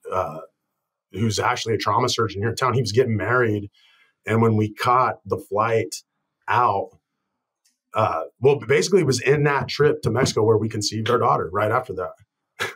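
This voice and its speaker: A man with an American accent at a moderate pace and medium pitch, with ordinary pitch variation, long, frequent pauses and a quiet background. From Colorado, US Southwest. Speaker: chiropractor. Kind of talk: interview. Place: office. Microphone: webcam.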